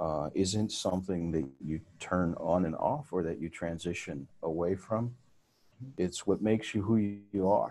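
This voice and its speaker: Very deep and low, this man's voice has a dark, mellow tone with ordinary pitch variation. He speaks at a fairly slow pace. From southwest Texas (Eagle Pass), born in Mexico. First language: Spanish. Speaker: corporate HR executive. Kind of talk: interview.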